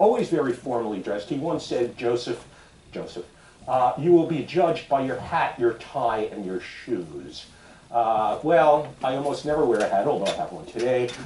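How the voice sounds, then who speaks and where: A man with lively intonation is heard through audible room echo and noticeable background noise. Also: medium pitch for a man, moderate pace. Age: 70s. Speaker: ethical society leader. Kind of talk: sermon.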